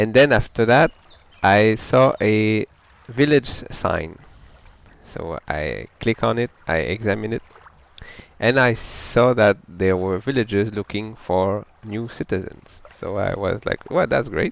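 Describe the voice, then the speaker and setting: With a French Canadian accent, a man talks at a very slow pace with ordinary pitch variation and long, frequent pauses. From Quebec, French Canada. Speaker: gamer. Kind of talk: casual gameplay talk. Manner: halting, with self-corrections.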